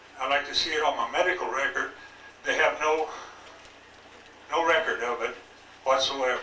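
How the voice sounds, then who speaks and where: Long, frequent pauses break up the speech, heard through noticeable background noise and audible room echo. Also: man, moderate pace. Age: 70s. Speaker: retired lab worker testifying. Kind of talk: testimony. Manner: halting.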